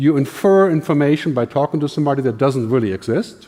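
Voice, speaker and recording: Very fast speech in a German accent with a dark, mellow tone. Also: man. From Germany. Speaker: futurist, keynote speaker. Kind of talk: keynote talk.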